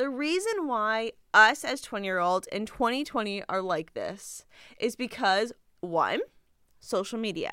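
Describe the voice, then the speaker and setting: A woman speaks at a fairly slow pace in a fairly high pitch, her tone bright, sharp and animated, with lively intonation on a very clean recording against a silent background. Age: 20s. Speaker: podcast host. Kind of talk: casual monologue.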